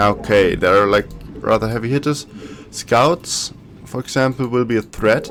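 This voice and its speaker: A man talks at a fairly slow pace, with medium pitch and ordinary pitch variation. Music plays in the background. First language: German. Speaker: gaming YouTuber. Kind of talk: gameplay commentary. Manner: casual, thinking aloud.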